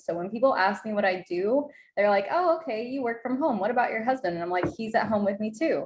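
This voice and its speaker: A woman's ordinary speaking voice at a medium pitch with lively intonation and an American accent, over a quiet background. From Oklahoma Panhandle, US. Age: 20s. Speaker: entrepreneur and mother. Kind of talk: podcast interview.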